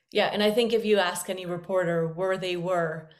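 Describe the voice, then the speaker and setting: A woman talks at a fairly quick pace in a flat monotone, with audible room echo. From Medellin, Colombia. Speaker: journalist podcast host. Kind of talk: interview.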